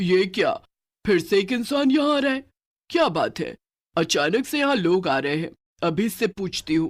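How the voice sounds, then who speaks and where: A man performs a cartoonish character voice at a high pitch and a moderate pace. The recording is very clean, with a silent background. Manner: menacing, gloating.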